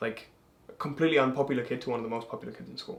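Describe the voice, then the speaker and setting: Ordinary pitch variation in a man's speech. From England. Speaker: manifestation content creator. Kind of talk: casual chat. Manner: animated.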